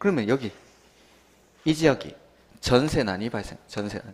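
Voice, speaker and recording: A man at a fairly quick pace. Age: young. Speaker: real estate law exam lecturer. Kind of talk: lecture. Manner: fast; animated.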